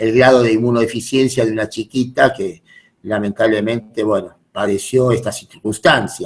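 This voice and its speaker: This man has a plain, everyday voice. He speaks at a medium pitch and a moderate pace. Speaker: medical lecturer. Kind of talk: lecture.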